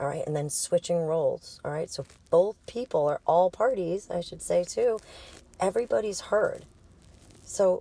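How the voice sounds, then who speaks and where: In an American accent, a woman speaks at a fairly slow pace with a dry, close sound that has no echo. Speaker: sex and intimacy coach. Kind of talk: casual educational monologue. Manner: casual, conversational.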